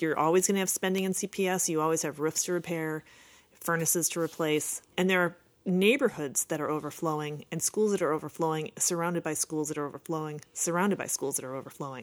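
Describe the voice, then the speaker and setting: A woman with a fairly low pitch talks at a very fast pace with fairly even intonation, on a very clean recording with a silent background. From Chicago, Rogers Park. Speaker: former city council candidate, lawyer. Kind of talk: interview.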